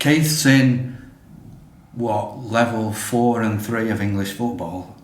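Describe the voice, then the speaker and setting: A man at a very slow pace with ordinary pitch variation, amid audible room echo and noticeable background noise. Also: medium pitch for a man. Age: 60s. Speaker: podcast co-host. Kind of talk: casual chat.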